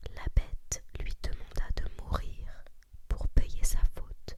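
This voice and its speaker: Whispering in a calm, soothing tone, the voice is heard over noticeable background noise. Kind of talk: whispered ASMR story reading. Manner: whispered, calm, soothing.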